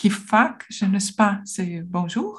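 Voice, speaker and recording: A woman's somewhat breathy, fairly high-pitched voice with a Portuguese accent. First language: Portuguese (speaking French). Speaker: language learner. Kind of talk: language lesson conversation. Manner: halting.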